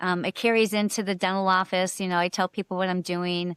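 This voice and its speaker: A woman's plain, everyday voice at a medium pitch and fairly quick pace, with fairly even intonation and a dry, close sound with no echo. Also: very clean recording, silent background. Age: 50s. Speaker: personal trainer and bodybuilder. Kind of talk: podcast interview.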